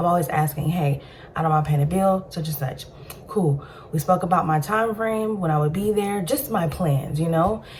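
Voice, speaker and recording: There is noticeable background noise as a woman with fairly low pitch speaks with ordinary pitch variation. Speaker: storytime vlogger. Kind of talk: personal storytelling monologue. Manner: fast.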